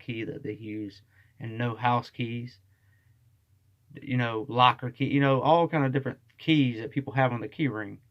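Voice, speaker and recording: At a moderate pace, this man talks in a medium pitch. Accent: Southern US. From US South. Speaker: vlogger. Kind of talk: casual monologue. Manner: casual, with fillers.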